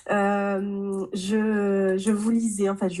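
A woman's medium-pitched voice. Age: 30s. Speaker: novelist. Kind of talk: interview. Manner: halting, many hesitations and repeats.

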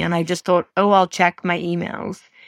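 In a very clean, dry and close recording with a silent background and no echo, a woman with an Irish accent speaks in a fairly low pitch with monotone, flat intonation. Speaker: diplomacy scholar and former diplomat. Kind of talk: interview conversation. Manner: halting, many restarts.

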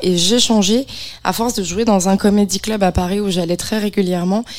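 At a moderate pace, a woman with an unremarkable speaking voice talks in fairly even intonation. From Beaujolais, France. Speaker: comedian. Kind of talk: casual chat. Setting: studio.

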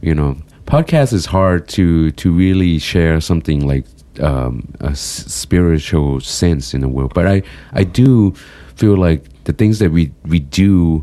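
A man's very deep, low voice, fairly slow in pace and lively in intonation, over noticeable background noise. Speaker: podcast co-host. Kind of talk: casual chat. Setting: studio. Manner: emotional tone.

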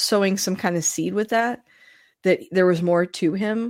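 A woman with a plain, everyday voice talks at a fairly slow pace with ordinary pitch variation. The recording is very clean, with a silent background. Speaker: podcast host, guest. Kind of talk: casual chat.

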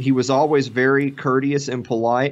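A man with a Tennessee accent talks at a moderate pace against a quiet background. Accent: Southern US (Tennessee). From US South, Middle Tennessee. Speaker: podcaster. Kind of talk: casual chat.

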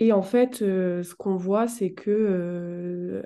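Her voice sits at a medium pitch, and this woman's tone is dark and mellow. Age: 20s. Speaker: communications officer and feminist activist. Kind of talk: casual chat.

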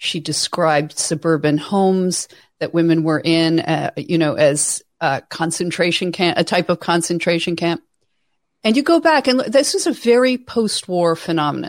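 A normal speaking voice at a moderate pace with lively intonation, on a very clean recording with a silent background. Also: woman, fairly low pitch for a woman. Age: 50s. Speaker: author and writer on women's issues. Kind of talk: interview.

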